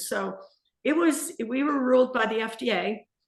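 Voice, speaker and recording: Vocal fry marks the speech of a woman in an American accent. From Southern California. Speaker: small business owner, salsa maker. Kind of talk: interview, casual chat.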